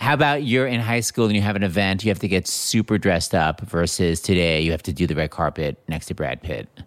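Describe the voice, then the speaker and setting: A man's very deep, low pitch at a very fast pace with hardly any pauses, on a very clean recording with a silent background. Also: lively intonation. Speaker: podcast host. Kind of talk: casual interview.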